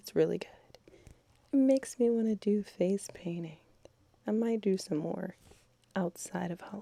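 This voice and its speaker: A woman's whisper at a moderate pace, with long, frequent pauses and big swings in loudness. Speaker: beauty vlogger. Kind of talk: casual voiceover tutorial. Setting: at home. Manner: whispering.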